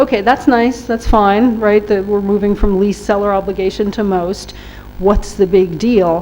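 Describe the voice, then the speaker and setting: Against noticeable background noise, a woman with a New York accent speaks at a medium pitch with fairly even intonation. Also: moderate pace. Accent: New York American. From US, New York. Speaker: workshop trainer on trade rules. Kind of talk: lecture.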